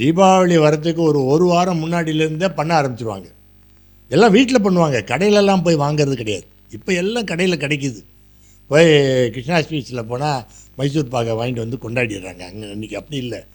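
Very wide pitch swings from a man with a fairly high pitch. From Madurai, Tamil Nadu. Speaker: interviewee sharing memories. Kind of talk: reminiscing monologue.

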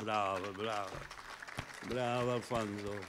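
A man with an American accent speaks in a room with audible echo and noticeable background noise. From United States. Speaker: poet. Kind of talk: poetry reading.

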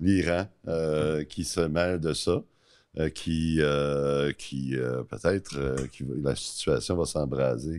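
A man with a very deep, low pitch speaks at a very slow pace, keeping his intonation fairly even. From Quebec. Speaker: podcast host. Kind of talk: casual interview. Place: studio. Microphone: studio mic.

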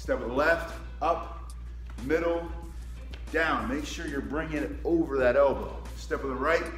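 Faint music sits in the background and audible room echo surrounds a man talking at a moderate pace. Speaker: martial arts instructor. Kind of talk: tutorial. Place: gym. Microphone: phone near.

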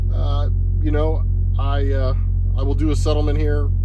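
A man's speech runs at a moderate pace while music is heard in the background. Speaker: truck driver vlogger. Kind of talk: casual vlog chat. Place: car.

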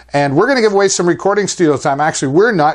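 A man talks at a fast pace with lively intonation.

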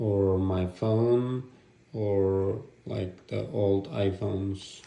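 A man speaks low, with vocal fry and a dark, mellow tone. His intonation stays fairly even, and the room echo is audible.

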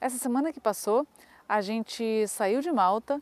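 At a moderate pace, a woman speaks in a fairly high pitch with ordinary pitch variation and a dry sound with no echo. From Brazil, Niterói (Rio de Janeiro); Brazil. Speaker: travel vlogger. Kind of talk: casual vlog chat. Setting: outdoors.

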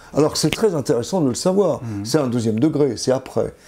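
With a dark, mellow tone, a man speaks at medium pitch while his pitch swings very widely. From France, Vichy (Auvergne); Auvergne, France. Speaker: linguist and retired professor; retired professor. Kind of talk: interview. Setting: at home. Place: home room. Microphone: lapel.

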